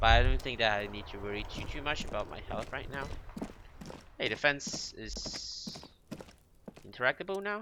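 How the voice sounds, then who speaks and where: With big swings in loudness and long, frequent pauses, a man speaks at a moderate pace over noticeable background noise. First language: Mandarin. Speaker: gaming youtuber. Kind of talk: let's play commentary, reading game text aloud. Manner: halting, frequent self-corrections.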